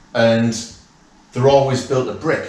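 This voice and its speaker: In a northeast English accent, a man speaks with audible room echo and noticeable background noise. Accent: northeast English (Durham). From northeast England, County Durham. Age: 50s. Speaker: property investor visiting as fan. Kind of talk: casual chat. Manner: animated, halting with repeats.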